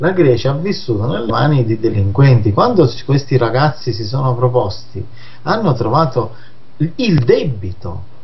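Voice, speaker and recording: A man with a medium pitch speaks at a moderate pace with lively intonation, an ordinary speaking voice. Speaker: magazine director and anti-mafia activist. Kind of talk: radio interview discussing politics.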